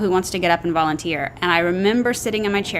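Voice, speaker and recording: Very fast and at a medium pitch, a woman with an American accent talks with ordinary pitch variation over noticeable background noise. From US South, North Texas (Dallas area). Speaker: actress. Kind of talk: casual chat.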